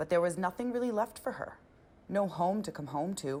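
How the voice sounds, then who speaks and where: At a fairly quick pace, this is an unremarkable speaking voice. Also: woman. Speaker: news reporter. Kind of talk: local TV news report narration.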